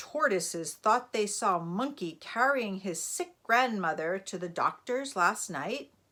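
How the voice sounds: A natural reading voice moves with lively intonation.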